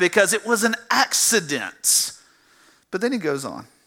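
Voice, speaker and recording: A raised, projected voice from a man with a Southern US accent, high in pitch, bright and sharp in tone, at a fairly slow pace. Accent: Southern US (Georgia). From US South, south Georgia. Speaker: pastor. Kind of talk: sermon. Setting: church. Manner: halting, repeats words.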